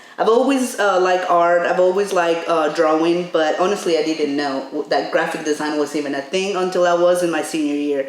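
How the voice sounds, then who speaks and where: A woman speaks at a fairly quick pace with hardly any pauses, using a fairly low pitch and ordinary pitch variation. Room echo is audible, along with noticeable background noise. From Mexico. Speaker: graphic designer. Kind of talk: casual chat.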